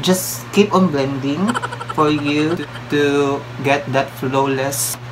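Someone with a Filipino accent speaks at a very slow pace with long, frequent pauses over noticeable background noise. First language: Filipino language. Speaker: beauty vlogger. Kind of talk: casual makeup tutorial to camera. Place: home room. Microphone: phone near.

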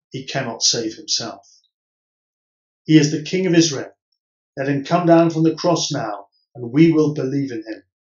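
A man with a fairly high voice talks at a moderate pace, pausing long and often. The room echo is audible, the background is quiet, the pitch varies in an ordinary way, and the loudness swings widely. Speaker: Church of England priest. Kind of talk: solemn Gospel reading. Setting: pre-recorded virtual service. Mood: solemn, measured. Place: home room. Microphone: camera far.

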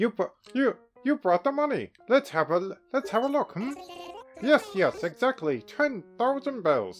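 With faint music in the background, a man does a put-on character voice at an extremely high pitch, with very wide pitch swings, a fairly slow pace and long, frequent pauses. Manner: fussy, eager, repeating words.

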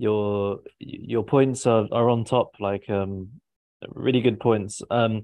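Slow and dark in tone, a man's mellow, fairly low voice keeps a fairly even intonation.

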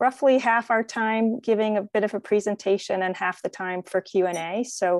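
Over a quiet background, a woman speaks with fairly even intonation, the sound dry with no echo. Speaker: event organizer hosting a webinar. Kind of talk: webinar host introduction. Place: home room. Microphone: video call.

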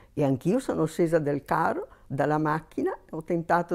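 Against a quiet background, a woman speaks in a very deep, low pitch. Her tone is dark and mellow, with vocal fry. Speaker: missionary nun; interviewee. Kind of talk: interview testimony. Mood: warm, reflective. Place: home room. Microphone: lapel.

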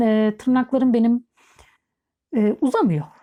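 A woman talks at a moderate pace with a fairly high pitch. Her tone is dark and mellow. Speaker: beauty vlogger. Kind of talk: product review tutorial. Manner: hesitant, many filler sounds. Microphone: new microphone.

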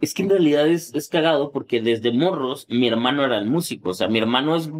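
The man talks at a moderate pace. His pitch is fairly high, with ordinary pitch variation. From Mexico, Tepic, Nayarit; Nayarit, Mexico. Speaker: electronic music producer and painter; guest. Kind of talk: casual interview. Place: studio. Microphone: studio mic.

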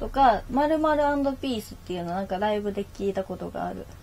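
A woman talks at a moderate pace in an Osaka accent. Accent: Kansai (Osaka) Japanese. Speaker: internet radio host. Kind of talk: casual chat, live stream. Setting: live stream with chat comments. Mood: relaxed, cheerful. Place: home room. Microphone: webcam.

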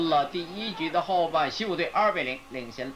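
Against noticeable background noise, a man speaks at a fairly high pitch with ordinary pitch variation. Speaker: sports broadcaster. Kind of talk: 1980s baseball play-by-play. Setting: archived TV broadcast recording. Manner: brisk, steady announcer delivery.

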